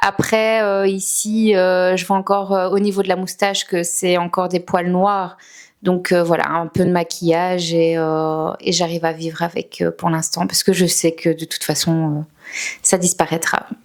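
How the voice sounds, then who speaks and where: Over a silent background in a very clean recording, a woman speaks fairly slowly in a fairly low, flat monotone. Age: 30s. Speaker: salon client giving testimony. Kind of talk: testimony. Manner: hesitant, many fillers.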